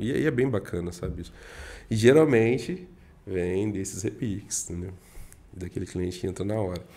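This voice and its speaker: In a dark, mellow tone and a fairly low pitch, a man speaks with long, frequent pauses. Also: ordinary pitch variation, moderate pace. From Minas Gerais, Brazil. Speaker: guest, real estate professional; guest. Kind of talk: casual podcast interview. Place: studio. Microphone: studio mic.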